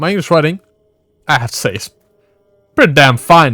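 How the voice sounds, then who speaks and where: Recorded with a dry, close sound and no echo, a man with a Swedish accent speaks in a bright, sharp tone. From Sweden. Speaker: gaming YouTuber. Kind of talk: casual gameplay commentary. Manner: halting.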